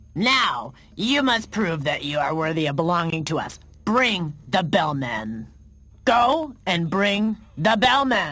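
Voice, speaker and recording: Over music in the background, a man does a cartoonish character voice at a high pitch with very wide pitch swings and a fairly slow pace. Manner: showy, boisterous.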